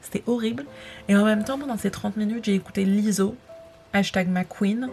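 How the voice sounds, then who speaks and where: Noticeable background noise sits behind a woman's voice. Her pitch is medium and varies in an ordinary way. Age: 20s. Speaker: vlogger and aspiring writer. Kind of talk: casual vlog talk to camera. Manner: hesitant, many fillers.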